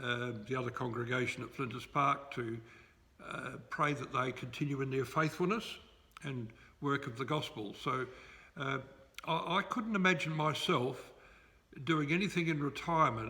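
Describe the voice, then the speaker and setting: With an Australian accent, a man talks at a moderate pace in a fairly high pitch with ordinary pitch variation, leaving long, frequent pauses amid audible room echo. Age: 70s. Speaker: retired pastor. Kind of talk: interview. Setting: church.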